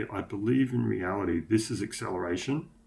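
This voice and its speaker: A man's fairly low, somewhat breathy voice with an Australian accent, at a moderate pace. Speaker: motorcycle tuning vlogger. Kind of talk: screen-share tutorial. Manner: casual, hesitant with many fillers.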